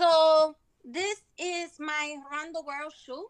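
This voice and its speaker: A woman with a Spanish accent speaks at an extremely high pitch with fairly even intonation. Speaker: sneaker collector, contestant. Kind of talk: casual show-and-tell.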